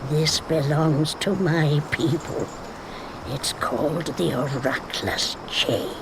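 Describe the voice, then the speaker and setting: Through loud background noise, a put-on character voice at a middle pitch moves at a very slow pace. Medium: video game. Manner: knowing, teasing.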